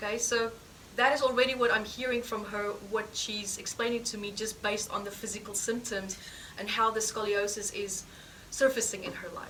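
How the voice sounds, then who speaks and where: A woman's fairly high voice in a non-native accent, flat and monotone, with audible room echo and noticeable background noise. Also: fairly quick pace. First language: not English. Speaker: healing therapy teacher. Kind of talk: live teaching demonstration session. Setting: course room with live audience.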